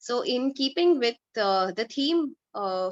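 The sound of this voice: A woman speaks at a fairly slow pace with lively intonation. The sound is dry and close, with no echo.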